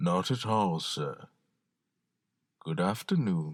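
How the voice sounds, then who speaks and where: A man puts on a character voice, very deep and low. He speaks at a very slow pace. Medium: audio drama. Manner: polite, measured.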